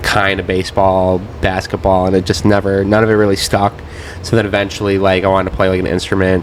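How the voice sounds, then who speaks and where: Over noticeable background noise, a man with a very deep, low voice and a Midwestern accent talks at a fairly quick pace. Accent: US Midwest (Ohio). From northeast Ohio (Cleveland area). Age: 20s. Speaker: DJ and producer. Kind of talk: casual interview chat. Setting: bar, in person.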